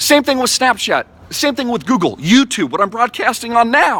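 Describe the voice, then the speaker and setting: A man's raised, projected voice, bright and sharp in tone, animated, at a fairly quick pace, with a dry, close sound and no echo. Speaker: crypto investment YouTuber. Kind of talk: vlog monologue. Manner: fast.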